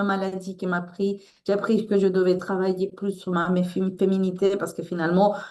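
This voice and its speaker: A woman speaks with a Latin American accent. Her pitch is medium and her pace moderate. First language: Spanish (speaking French). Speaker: author and resilience coach. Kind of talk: interview. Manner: halting.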